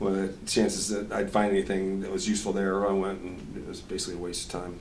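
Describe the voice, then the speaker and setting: Speaking at a very fast pace in a monotone, flat intonation, a man is heard with audible room echo. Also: fairly low pitch for a man. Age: 60s. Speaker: musician. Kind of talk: interview. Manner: halting, with repeated words.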